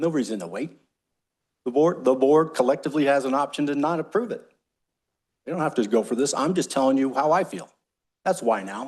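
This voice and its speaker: This man has an American accent and a fairly high pitch, with lively intonation against a quiet background. He speaks at a fairly quick pace but takes long, frequent pauses. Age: 60s. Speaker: utility district general manager. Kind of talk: board meeting discussion. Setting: public board meeting.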